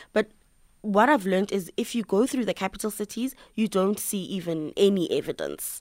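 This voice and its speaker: Delivered at a moderate pace with ordinary pitch variation, this voice has a South African accent and a dry, close sound with no echo. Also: woman, medium pitch for a woman. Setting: studio.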